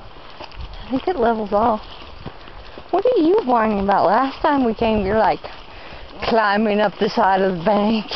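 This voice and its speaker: In an American accent, a playful voice moves at a fairly slow pace with long, frequent pauses, a dry sound with no echo, and light background noise. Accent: rural Southern American, redneck-sounding. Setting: outdoors, hiking. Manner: playful, excitable. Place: forest. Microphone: phone near.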